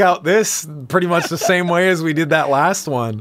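A man speaks with a high pitch and a fairly bright tone. His pace is moderate.

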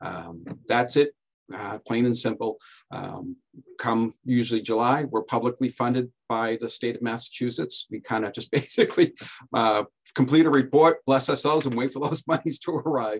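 A moderately paced man's voice, ordinary in pitch variation, in quiet surroundings. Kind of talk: presentation talk in a webinar. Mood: relaxed, lightly joking. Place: office. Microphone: video call.

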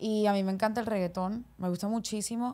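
A dark, mellow tone at a moderate pace, in a monotone, flat intonation. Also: woman. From Colombia, Barranquilla (Caribbean coast); Colombia. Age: 20s. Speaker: singer; guest. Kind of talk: casual interview chat. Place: studio. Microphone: studio mic.

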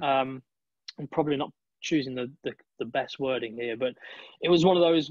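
With a British accent, a man speaks at a fairly high pitch and fairly quick pace, with ordinary pitch variation and long, frequent pauses, in dry sound with no echo over a quiet background. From UK. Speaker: esports and TV presenter; TV presenter. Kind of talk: casual interview chat. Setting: video call. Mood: reflective, personal. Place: home room. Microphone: video call.

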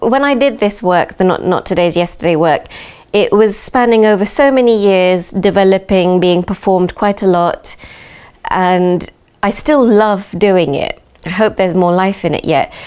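Against a quiet background, a woman with a British accent keeps her loudness very even. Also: ordinary pitch variation, moderate pace. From UK. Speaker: dancer and choreographer. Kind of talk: interview. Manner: hesitant, with fillers. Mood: calm, reflective. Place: home room.

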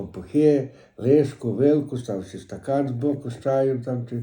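A man talks with a western Ukrainian accent. His tone is dark and mellow, and somewhat breathy. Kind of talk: dialect interview answer. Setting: home recording.

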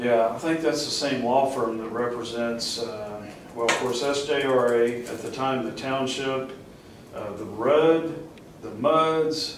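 With audible room echo and noticeable background noise, a man talks at a very slow pace with fairly even intonation. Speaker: election candidate. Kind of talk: interview answer. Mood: thoughtful, hesitant. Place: meeting room. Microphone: camera far.

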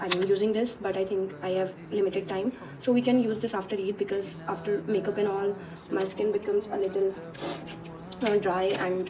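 A woman keeps a moderate pace while noticeable background noise carries on behind her. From Delhi, India. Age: 20s. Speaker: vlogger. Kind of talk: casual vlog talk to camera. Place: home room. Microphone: phone near.

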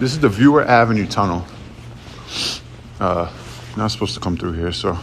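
At a moderate pace, a man speaks in a fairly low pitch with light background noise. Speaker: urban explorer vlogger. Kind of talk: casual vlog chat. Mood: excited, impressed. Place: tunnel cave. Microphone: phone near.

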